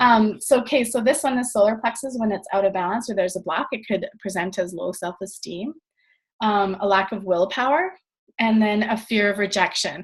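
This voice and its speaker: Against a quiet background, a woman talks at a fairly quick pace in a fairly high, somewhat breathy voice with ordinary pitch variation. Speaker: network marketing trainer. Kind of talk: training call presentation. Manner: fast.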